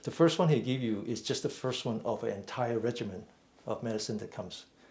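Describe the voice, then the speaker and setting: With audible room echo, a man talks at a moderate pace in a medium pitch. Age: 60s. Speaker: mindful fitness and meditation teacher. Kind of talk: lecture. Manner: halting.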